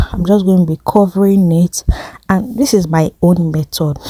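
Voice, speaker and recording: A woman speaks at a moderate pace in a medium pitch, her voice dry and close with no echo over noticeable background noise. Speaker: cooking channel host. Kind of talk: cooking tutorial. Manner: casual, hesitant with fillers.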